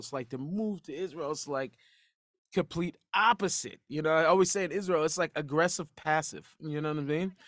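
This man has an unremarkable speaking voice, fairly high in pitch, with an American accent and ordinary pitch variation, captured on a very clean recording with a silent background. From US Pacific Northwest, Seattle. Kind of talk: casual interview conversation.

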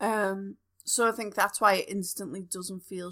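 A woman with a Liverpool accent speaks at a fairly slow pace on a very clean recording with a silent background. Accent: Scouse. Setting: home recording in front room. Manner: animated, joking.

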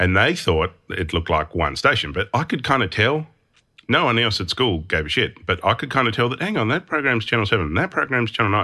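A man's bright, sharp voice with vocal fry, very wide pitch swings and an Australian accent, at a fairly quick pace over a quiet background. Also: medium pitch for a man. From Tasmania, Australia (Hobart). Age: 40s. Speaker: motion designer and studio owner. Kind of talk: interview. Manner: heavy breathing.

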